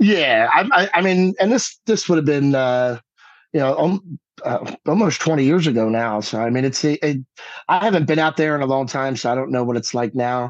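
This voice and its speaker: Over a quiet background, a man with an American accent talks at a moderate pace with a fairly high pitch and lively intonation. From New Jersey. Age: 40s. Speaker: musician. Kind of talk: casual chat.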